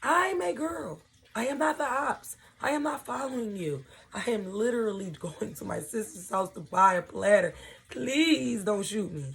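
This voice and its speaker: A female-sounding put-on character voice shouts raspily at a moderate pace, its medium pitch swinging very widely. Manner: screaming in terror, panicked and pleading.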